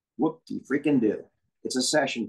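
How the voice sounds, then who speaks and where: With ordinary pitch variation, a man talks while the surroundings stay quiet. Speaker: animation voiceover coach. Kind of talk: interview answer. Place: home room. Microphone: video call.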